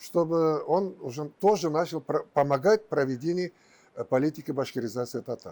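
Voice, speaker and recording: A man's dark, mellow tone at a fairly high pitch, with a fairly slow pace and long, frequent pauses. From Bashkortostan, Russia. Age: 70s. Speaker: publicist. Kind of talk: interview answer.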